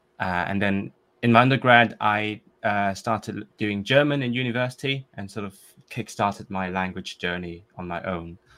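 This man has a fairly low pitch, a bright, sharp tone and a Cantonese accent. He talks at a moderate pace with big swings in loudness. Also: very clean recording, silent background. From Hong Kong. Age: 20s. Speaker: composer and polyglot language learner. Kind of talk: casual interview chat.

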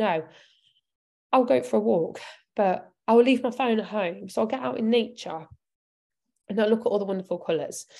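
Very clean recording, silent background: a woman with a British accent, fairly high in pitch, at a moderate pace with long, frequent pauses. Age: 30s. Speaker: nutrition coach. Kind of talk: live Q&A talk.

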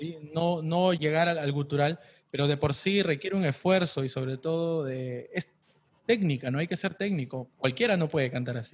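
At a moderate pace, an ordinary speaking voice moves with ordinary pitch variation. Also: man, fairly high pitch for a man. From Peru. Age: 30s. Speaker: podcast host, interviewer. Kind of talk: casual interview.

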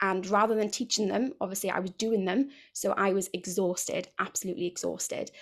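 A woman with a Welsh accent speaks at a medium pitch and a fairly quick pace, her intonation fairly even and touched with vocal fry, on a very clean recording with a silent background. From South Wales, near Cardiff. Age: 30s. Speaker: women's health and fitness coach. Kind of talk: casual interview.

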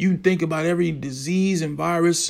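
A man with a fairly high pitch talks at a moderate pace in a normal speaking voice. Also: very clean recording, silent background. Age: 30s. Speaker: podcast host. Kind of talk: solo commentary monologue. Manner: casual.

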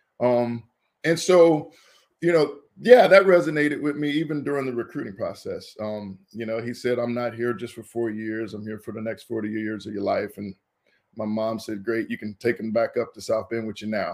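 Spoken at a moderate pace in a normal speaking voice with an American accent, the delivery has big swings in loudness and ordinary pitch variation, captured on a very clean recording with a silent background. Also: man, medium pitch for a man. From US Midwest, Indianapolis. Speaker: former college football player. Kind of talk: interview.

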